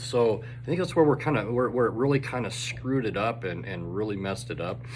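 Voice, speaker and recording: Speaking at a fairly low pitch, a man makes very wide pitch swings. Audible room echo is present. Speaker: teacher. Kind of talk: casual video update to students. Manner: fast.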